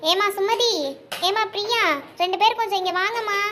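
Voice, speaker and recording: In a put-on character voice, a woman speaks squeaky and raised at an extremely high pitch, monotone and flat, at a fairly slow pace over clear background noise. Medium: cartoon. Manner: commanding.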